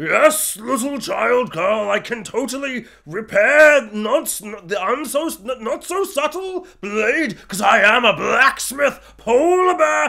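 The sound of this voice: Someone uses a put-on character voice at a fairly slow pace. There are hardly any pauses. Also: man, extremely high pitch for a man.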